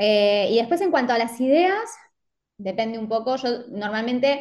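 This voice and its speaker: A woman talks in an Argentine accent. Her pitch is fairly high. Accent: Rioplatense Argentine Spanish. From Argentina, Mar del Plata. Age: 30s. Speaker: fashion designer and social media marketer. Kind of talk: casual interview chat. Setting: remote call.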